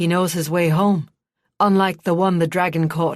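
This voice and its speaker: A put-on character voice sits at a middle pitch and stays flat and monotone throughout. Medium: read story. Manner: casual but uneasy.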